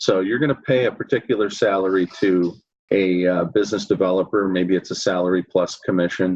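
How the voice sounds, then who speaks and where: With an American accent, a man with a very deep, low pitch talks at a fairly quick pace, his intonation fairly even and his loudness very even. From US Midwest, Chicago area. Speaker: accounting firm consultant. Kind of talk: interview.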